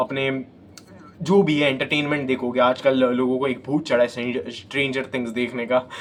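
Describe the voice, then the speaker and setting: A man speaks at a moderate pace. Noticeable background noise is heard as he talks. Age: 20s. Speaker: self-improvement YouTuber. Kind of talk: motivational talk to camera. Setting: self-recorded on phone selfie camera.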